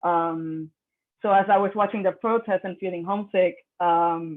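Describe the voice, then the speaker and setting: Speaking in a Puerto Rican accent, a woman keeps a moderate pace. Her pitch sits fairly low, and her intonation is fairly even. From Puerto Rico. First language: Spanish. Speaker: artist. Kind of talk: artist talk, partly read aloud. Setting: video call. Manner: hesitant, many fillers.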